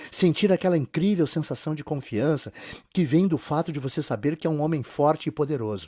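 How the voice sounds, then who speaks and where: On a very clean recording with a silent background and a dry, close sound with no echo, a man speaks at a fairly high pitch in a dark, mellow tone. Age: 50s. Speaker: sales narrator. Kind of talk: sales pitch.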